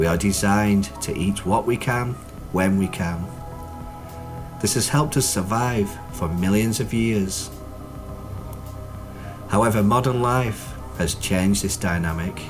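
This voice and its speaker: A man at a fairly slow pace with long, frequent pauses, music in the background. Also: fairly low pitch for a man, ordinary pitch variation. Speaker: clinical hypnotherapist. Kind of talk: hypnotherapy promotional talk.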